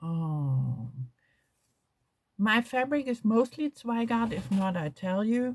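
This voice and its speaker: A woman's fairly high, somewhat breathy voice at a very slow pace, with very wide pitch swings and long, frequent pauses. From Germany. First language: German. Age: 60s. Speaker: crafts vlogger. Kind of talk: casual chat. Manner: halting.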